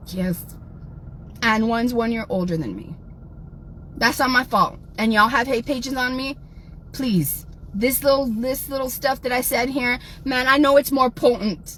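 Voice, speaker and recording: Animated in tone, a woman with an American accent speaks at a high pitch, leaving long, frequent pauses. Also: ordinary pitch variation, moderate pace. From South Texas. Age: 40s. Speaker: livestreamer. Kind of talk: livestream rant.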